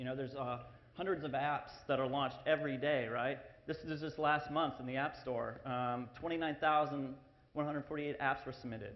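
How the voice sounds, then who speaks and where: A man speaks with an American accent at a fairly slow pace. His intonation stays fairly even. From Minnesota, US Midwest. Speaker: tech startup co-founder and CTO; conference presenter. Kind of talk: conference talk. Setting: stage with audience. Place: hall.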